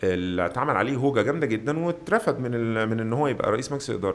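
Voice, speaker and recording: Using a normal speaking voice, a man talks with lively intonation. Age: 40s. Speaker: web entrepreneur. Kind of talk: long-form interview.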